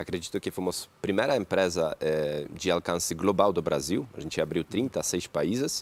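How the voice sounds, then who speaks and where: Very deep and low-pitched, a man speaks at a moderate pace with lively intonation and hardly any pauses. The sound is dry and close, with no echo. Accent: Polish. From Poland. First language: Polish (speaking Portuguese). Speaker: entrepreneur, company CEO. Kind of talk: talk show interview.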